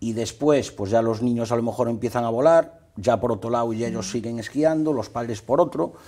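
This man has a dark, mellow tone and ordinary pitch variation. He talks at a fairly quick pace with hardly any pauses over a quiet background. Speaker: ski travel agency owner and former ski instructor; guest. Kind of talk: interview; interview answer. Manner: halting, many repetitions and fillers. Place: studio. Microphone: lapel.

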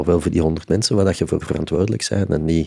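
A man with a very deep, low pitch and a dark, mellow tone, ordinary pitch variation, quiet background. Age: 50s. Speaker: concert venue executive; podcast guest. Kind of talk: interview. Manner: halting. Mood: reflective, calm. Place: studio. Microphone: studio mic.

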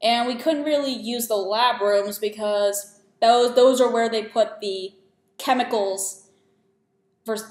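A woman's very slow speech with fairly even intonation and audible room echo. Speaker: student vlogger. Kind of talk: casual vlog chat. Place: home room. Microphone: webcam.

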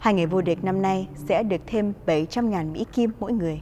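The woman's tone is dark and mellow. Her medium pitch varies in an ordinary way. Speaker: news anchor. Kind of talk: news reading. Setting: studio. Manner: formal.

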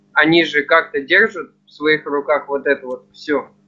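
The background is quiet as a man talks at a moderate pace. His pitch is fairly high and his intonation fairly even. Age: young. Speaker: viewer asking questions; interviewer asking questions. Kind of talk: casual chat. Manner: polite. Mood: polite, curious. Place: home room. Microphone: video call.

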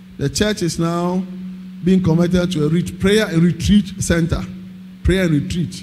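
With music in the background, a man with a high pitch sounds animated. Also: fairly slow pace. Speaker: preacher. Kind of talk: sermon. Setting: church. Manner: animated, rhetorical, call-and-response with the congregation; emphatic, repeating phrases. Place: church. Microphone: handheld.

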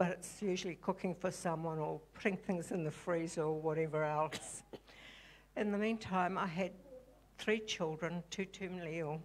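At a moderate pace, a woman speaks with fairly even intonation. Her pitch is fairly low. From New Zealand (Christchurch), refugee family from Europe; New Zealand. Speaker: church member being baptized. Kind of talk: testimony. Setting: church stage. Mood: calm, reflective. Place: church. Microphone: handheld.

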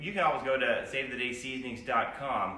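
A man talks at a moderate pace. Audible room echo and light background noise can be heard. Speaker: home cook demonstrating seasonings. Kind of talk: cooking tutorial. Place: kitchen. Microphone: phone near.

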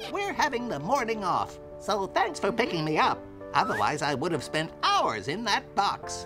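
A cartoonish character voice moves at a moderate pace over clear music in the background. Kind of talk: cartoon showman. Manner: showy, smug, manipulative.

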